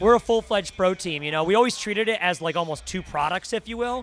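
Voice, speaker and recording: A man talks at a very fast pace with ordinary pitch variation, the sound dry with no echo and light background noise behind him. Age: 30s. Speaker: esports team owner. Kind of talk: interview. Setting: gaming convention. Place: hall. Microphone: handheld.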